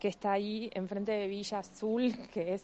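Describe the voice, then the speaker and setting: Fairly slow speech from a woman, medium in pitch with a dark, mellow tone. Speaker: animal rescue volunteer. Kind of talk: interview.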